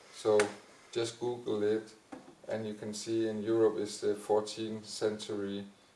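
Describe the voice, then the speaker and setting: Fairly slow, monotone, flat speech from a man with fairly low pitch, against noticeable background noise. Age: 50s. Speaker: dancer and dance teacher. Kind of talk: panel discussion.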